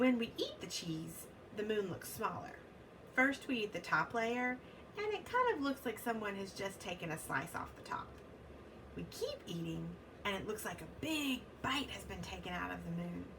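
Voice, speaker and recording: Over clear background noise, a woman performs in a put-on character voice. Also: moderate pace. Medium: read story. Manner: friendly, cheerful.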